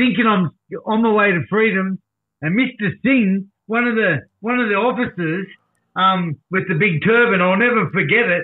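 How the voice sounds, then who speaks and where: Moderate pace and ordinary pitch variation in an Australian accent, with very even loudness throughout. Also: man, high pitch for a man. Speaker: recovery advocate. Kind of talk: casual interview storytelling. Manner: animated.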